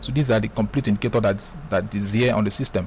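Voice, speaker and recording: A man rattles along at a very fast pace, his pitch moving in an ordinary way, with noticeable background noise behind him. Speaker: forex trading tutorial creator. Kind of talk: screen-recorded software tutorial. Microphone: voice sounds bad in the mic.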